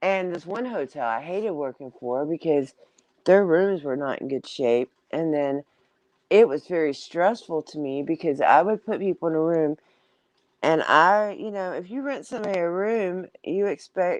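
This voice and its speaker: A woman with a Southern US accent speaks at a fairly low pitch with lively intonation. The sound is dry and close with no echo, over a quiet background. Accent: southern drawl, country. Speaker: live-stream host. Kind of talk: casual chat. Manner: rambling, filler-heavy.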